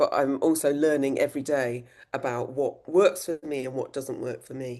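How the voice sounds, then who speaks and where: Her pitch is very deep and low, with a southern English accent. The woman talks at a moderate pace. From England, Oxfordshire. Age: 60s. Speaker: menopause activist, former teacher. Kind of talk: interview podcast.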